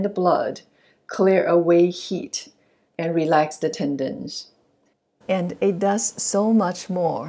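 Delivered at a very slow pace, the voice has a dark, mellow tone and fairly even intonation. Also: woman. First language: not English. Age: 60s. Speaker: yoga and qigong instructor. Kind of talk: self-care tutorial instruction. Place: home room.

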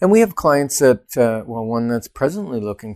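The speaker is a man. He talks at a moderate pace against a quiet background. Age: 50s. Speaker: real estate agent and show co-host; show co-host. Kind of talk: casual co-hosted real estate talk show. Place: studio. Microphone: lapel.

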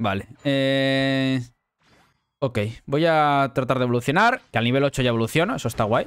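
A man of medium pitch talks at a moderate pace in a Spanish accent, with ordinary pitch variation and very even loudness. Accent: Peninsular Spanish. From Spain. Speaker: gaming youtuber and streamer; gaming youtuber, streamer. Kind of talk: gameplay commentary. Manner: animated. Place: home room.

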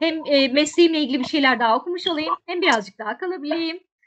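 A woman with a high pitch speaks against a quiet background. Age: 40s. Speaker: tour guide; interview guest. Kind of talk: interview conversation. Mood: relaxed, friendly. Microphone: video call.

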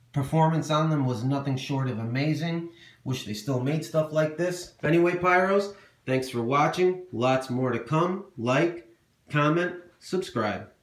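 The background is quiet, with audible room echo. Pitch varies in an ordinary way at a fairly slow pace. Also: man. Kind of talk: casual show-and-tell narration. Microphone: phone near.

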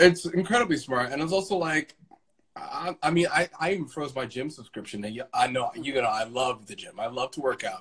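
At a moderate pace, a man speaks in an American accent. The background is quiet. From Brooklyn, New York. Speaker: Broadway actor. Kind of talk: casual chat. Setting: Instagram Live video from home. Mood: upbeat, optimistic despite troubles. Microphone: video call.

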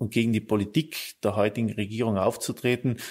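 Very clean recording with a silent background. A man speaks at a medium pitch and moderate pace in a monotone, flat intonation. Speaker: politician. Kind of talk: interview. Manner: halting.

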